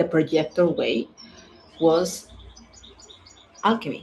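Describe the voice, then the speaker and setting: With a non-native accent, a woman speaks at a very deep, low pitch and with fairly even intonation. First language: not English. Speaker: human design coach. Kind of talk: casual monologue. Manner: halting, many fillers.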